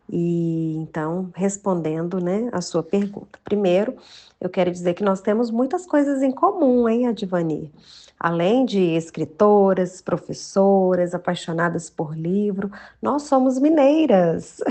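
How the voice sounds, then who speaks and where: Speaking at a very slow pace, a woman with a mineiro accent has a medium pitch and lively intonation. Her tone is warm, dark and mellow. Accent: mineiro accent, preserved. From Minas Gerais, Brazil. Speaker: journalist and children's author. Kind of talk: podcast interview. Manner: warm, filler-heavy conversational.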